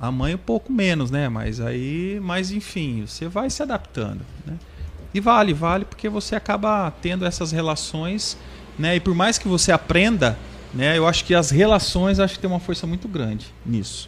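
High-pitched, a man speaks with lively intonation. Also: moderate pace. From central Paraná, Brazil. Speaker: franchise school co-owner. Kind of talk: casual interview chat. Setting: studio.

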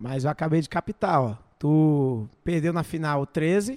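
A man talks at a very slow pace in a dark, mellow tone. The sound is dry and close with no echo, on a very clean recording with a silent background. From Brazil, Goiás/Brasília region. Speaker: podcast host. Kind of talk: casual chat. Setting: studio.

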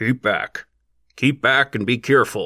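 In a put-on character voice, a man bellows with a raspy, medium-pitched tone at a moderate pace, recorded very cleanly against a silent background. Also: dry, close sound with no echo. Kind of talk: shouted warning. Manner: bellowing, commanding.

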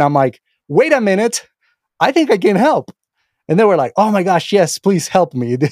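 At a fairly quick pace, a man talks with a dry, close sound with no echo. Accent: Spanish. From Venezuela. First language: Spanish. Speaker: AI researcher and course instructor. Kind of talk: interview conversation. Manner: halting, many repetitions and fillers.

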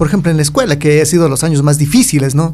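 This man's voice sits at a fairly high pitch and sounds somewhat breathy. His pitch varies in an ordinary way. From Ecuador, highlands (Otavalo). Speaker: podcast host. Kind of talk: casual interview chat.

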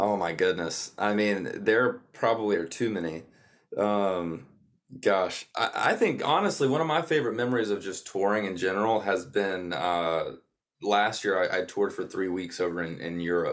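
A man's fairly low voice with a Southern US accent, moderate pace and ordinary pitch variation. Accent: Southern US (Georgia). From US South, North Georgia. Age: 20s. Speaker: country musician. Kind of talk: casual interview.

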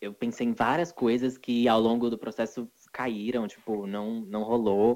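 The man's pitch is medium and his intonation monotone and flat. He speaks at a fairly slow pace. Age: 20s. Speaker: singer. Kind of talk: casual chat.

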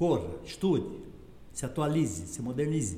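Over audible room echo, a man talks at a moderate pace with vocal fry and a dark, mellow tone. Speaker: company founder. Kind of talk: interview.

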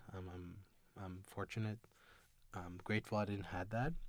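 A man with a Tunisian accent, fairly low in pitch, in a very clean recording with a silent background. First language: Tunisian Arabic. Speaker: international student. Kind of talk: interview. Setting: studio. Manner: halting.

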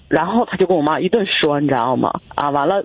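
Over noticeable background noise, a woman talks at a very fast pace with lively intonation. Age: 30s. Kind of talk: call-in personal problem story. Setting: phone call. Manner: halting.

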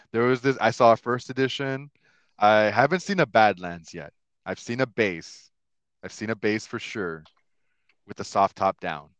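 Against a quiet background, a man of medium pitch talks at a moderate pace with big swings in loudness and long, frequent pauses, in a dry, close sound with no echo. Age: 30s. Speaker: podcast host. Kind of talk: casual chat.

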